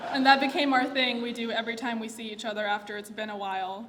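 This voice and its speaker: A woman's fairly high voice with fairly even intonation, noticeable background noise and audible room echo. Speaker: eulogist, friend of the deceased. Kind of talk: eulogy. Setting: memorial gathering.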